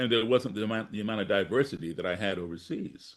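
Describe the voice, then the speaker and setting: A man with an American accent has an ordinary speaking voice, fairly low in pitch, with lively intonation at a moderate pace. The background is quiet. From US, grew up partly abroad as embassy child. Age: 60s. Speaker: blues musician and activist. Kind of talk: interview storytelling.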